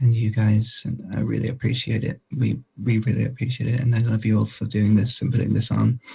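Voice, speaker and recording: A quiet male voice at medium pitch, dark and mellow with vocal fry, monotone and flat, at a fairly quick pace. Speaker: mourner giving eulogy. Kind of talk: eulogy. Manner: halting. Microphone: poor recording quality.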